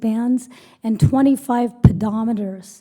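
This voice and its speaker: A woman speaks with music in the background. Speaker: physician colleague presenting an award. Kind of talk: award presentation speech.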